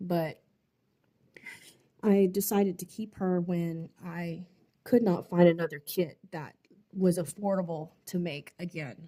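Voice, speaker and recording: A woman's voice sits fairly low. The pitch shifts in an ordinary way. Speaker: doll artist. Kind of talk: casual vlog voice-over. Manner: halting.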